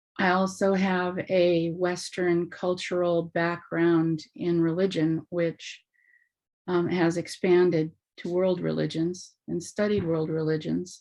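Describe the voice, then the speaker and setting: The speaker talks at a very slow pace in a monotone, flat intonation. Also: woman, fairly low pitch for a woman. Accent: American. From Alaska. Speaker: workshop participant. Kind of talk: workshop Q&A discussion.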